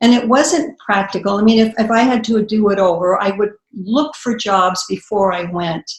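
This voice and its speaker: A woman with an American accent speaks at medium pitch, somewhat breathy, with ordinary pitch variation. Her pace is moderate, with hardly any pauses. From US West (central California). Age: 60s. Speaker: author and poet. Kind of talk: interview conversation. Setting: video call. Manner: halting.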